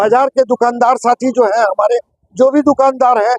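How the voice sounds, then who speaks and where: A man talks in an extremely high pitch with ordinary pitch variation. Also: dry, close sound with no echo. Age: 70s. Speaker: shopkeeper, market committee member. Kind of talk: protest interview statement. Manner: repetitive, with hesitations.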